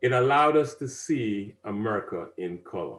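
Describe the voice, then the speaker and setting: Somewhat breathy speech with a Caribbean accent and ordinary pitch variation. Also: man, very clean recording, silent background. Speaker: civic advisor and speaker. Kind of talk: presentation to an audience.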